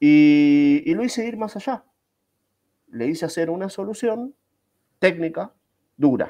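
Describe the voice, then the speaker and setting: Over a silent background on a very clean recording, this voice has a dark, mellow tone and lively intonation, moving at a fairly slow pace with long, frequent pauses. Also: man, high pitch for a man. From Argentina, Buenos Aires. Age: 40s. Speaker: Scrum master and IT teacher. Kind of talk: casual interview. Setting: live video stream.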